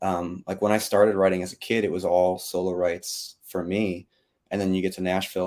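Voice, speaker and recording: A man with an American accent talks at a very fast pace in a very deep, low voice, his intonation monotone and flat while his loudness swings widely, all on a very clean recording with a silent background. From upstate New York (Adirondacks). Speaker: country singer-songwriter. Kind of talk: casual interview.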